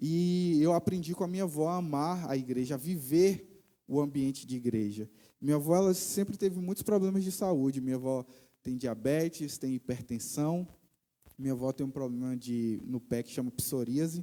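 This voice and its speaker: This man has a dark, mellow tone and a fairly high pitch, talking at a moderate pace with lively intonation. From Brazil, Bahia (Vitória da Conquista). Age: 20s. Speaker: missionary preacher. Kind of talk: sermon testimony. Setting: church.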